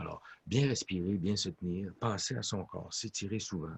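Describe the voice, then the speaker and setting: This man speaks at a moderate pace in a fairly low, somewhat breathy voice. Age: 60s. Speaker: orchestra conductor and music professor. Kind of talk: interview.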